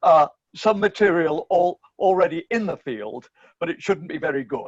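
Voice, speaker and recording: Dry and close with no echo, a man's high-pitched voice carries lively intonation. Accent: English. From England, Bristol. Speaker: philosophy professor. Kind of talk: interview conversation.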